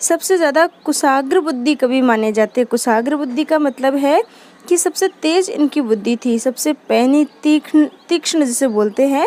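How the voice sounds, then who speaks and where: A high-pitched woman's voice in a Rajasthani accent, lively intonation, and a dry, close sound with no echo. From Rajasthan, India. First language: Rajasthani (speaking Hindi). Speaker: Hindi literature teacher. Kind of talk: lecture. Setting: at home in Rajasthan, temple aarti audible. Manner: repetitive, explanatory.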